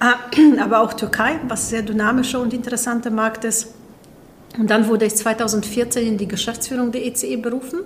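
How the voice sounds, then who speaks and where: Over noticeable background noise, a woman speaks at a moderate pace in a fairly high voice with fairly even intonation. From Poland. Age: 40s. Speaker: business executive. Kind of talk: interview.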